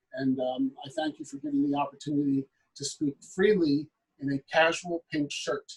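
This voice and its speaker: A man with an American accent, fairly high pitch, fairly even intonation and a somewhat breathy voice, at a moderate pace, in a dry, close sound with no echo. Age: 50s. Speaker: state legislator. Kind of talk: panel discussion.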